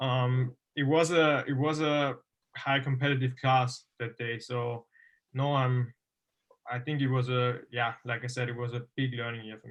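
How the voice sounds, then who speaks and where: Against a quiet background, a man talks at a moderate pace and medium pitch. His intonation is monotone and flat, while his loudness swings widely. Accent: German. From Austria. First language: German. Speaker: motocross racer. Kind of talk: interview. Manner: halting.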